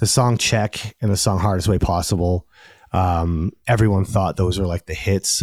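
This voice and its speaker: A man with an American accent speaks at a very deep, low pitch and a moderate pace, somewhat breathy and with fairly even intonation. The sound is dry and close, with no echo. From Maine, US. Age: 40s. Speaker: musician and songwriter. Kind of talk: casual interview chat. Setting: home recording studio.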